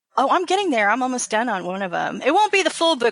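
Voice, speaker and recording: A woman with an American accent talks at a very fast pace with lively intonation. The sound is dry and close, with no echo. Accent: Southern, Texas twang at times. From Texas. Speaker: author. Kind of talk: interview. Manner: casual.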